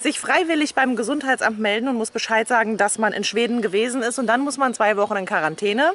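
Delivered at a very fast pace with hardly any pauses, the speech has ordinary pitch variation and a dry sound with no echo. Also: woman. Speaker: vlogger. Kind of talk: casual vlog chat. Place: open country. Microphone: phone near.

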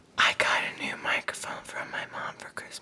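Soft-spoken and whispering, a man talks at a moderate pace. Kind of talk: casual vlog chat. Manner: soft ASMR whisper close to mic. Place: home room. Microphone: phone near.

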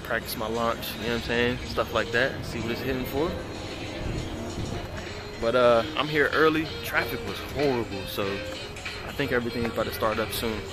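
A man speaks at a moderate pace, leaving long, frequent pauses. Clear music plays in the background. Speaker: car enthusiast vlogger. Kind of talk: casual vlog chat. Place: open country. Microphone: phone near.

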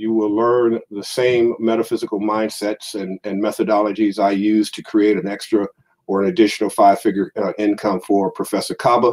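A man with an American accent speaks at a fairly low pitch and a moderate pace, with fairly even intonation. His is an unremarkable speaking voice, though his loudness swings widely. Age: 50s. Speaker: metaphysical minister and lecturer. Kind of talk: online lecture sermon. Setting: livestream with slides.

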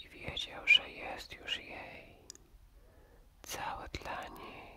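A man whispers softly at a very slow pace over light background noise. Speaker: storyteller. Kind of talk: whispered bedtime story, ASMR style. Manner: soft close ASMR whisper. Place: home room.

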